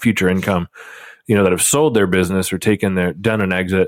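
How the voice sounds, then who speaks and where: A man speaks fairly quickly with a Midwestern accent. His voice is fairly low, with ordinary pitch variation. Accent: general Midwestern American. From Nebraska, US Midwest. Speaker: podcast co-host, financial advisor. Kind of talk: casual chat.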